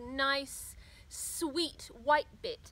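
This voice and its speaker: The voice is raised and projected, with a bright, sharp tone. The sound is dry, with no echo. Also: woman. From Australia. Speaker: gardening vlogger. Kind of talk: tutorial. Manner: casual. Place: garden.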